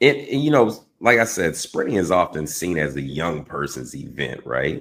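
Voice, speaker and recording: Vocal fry runs through this man's speech, which swings very widely in pitch. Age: 40s. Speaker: interviewer. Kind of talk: interview.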